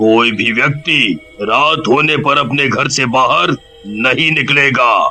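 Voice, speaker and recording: Over faint music in the background, a man uses a cartoonish character voice at medium pitch and a fairly slow pace. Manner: authoritative.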